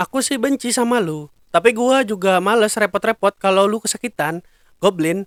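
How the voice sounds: This is a natural reading voice. It reads the text plainly.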